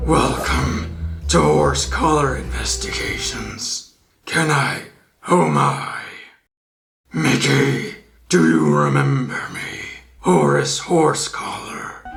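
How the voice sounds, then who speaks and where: A man uses a put-on character voice that is raspy and very deep, speaking at a very slow pace with long, frequent pauses. Music plays in the background, and there is an audible echo. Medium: fan dub. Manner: upbeat, eager to please.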